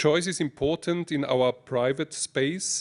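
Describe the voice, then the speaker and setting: Very slow speech in an Austrian accent, with ordinary pitch variation, comes through a dry, close sound with no echo against a quiet background. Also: man. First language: German. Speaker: mayor. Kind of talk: prepared speech read aloud. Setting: lecture hall with audience. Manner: halting, with restarts.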